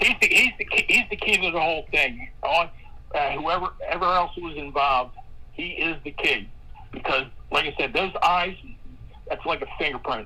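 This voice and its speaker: A woman keeps a moderate pace but leaves long, frequent pauses, with noticeable noise in the background. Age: 60s. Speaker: caller with tips on a missing person case. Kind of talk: live stream discussion. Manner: halting, many repeated words.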